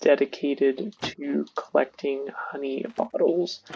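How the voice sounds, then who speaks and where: A man talks quietly at a very slow pace. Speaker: gaming youtuber. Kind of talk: gameplay tutorial. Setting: home recording at night. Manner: casual.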